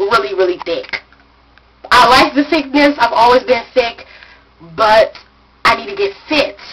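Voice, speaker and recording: A woman talks with an American accent and lively intonation. Noticeable background noise sits behind her. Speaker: vlogger. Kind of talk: casual vlog chat. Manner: fast, hurried.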